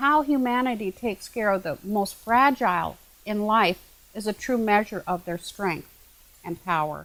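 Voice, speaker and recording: With lively intonation, a woman talks at a moderate pace and a fairly high pitch. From Alberta, Canada. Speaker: Native artist and spiritual elder. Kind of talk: documentary interview testimony. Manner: halting with repeated words.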